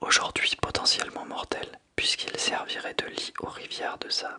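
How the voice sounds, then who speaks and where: Whispering at a fairly slow pace. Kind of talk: audiobook reading. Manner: whispered.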